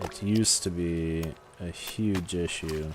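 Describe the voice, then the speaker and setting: A man speaks with a very deep, low pitch and ordinary pitch variation. Noticeable background noise is present. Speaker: gaming streamer. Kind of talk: casual live-stream chat. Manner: sometimes fast, not always clearly enunciated; hesitant, many fillers.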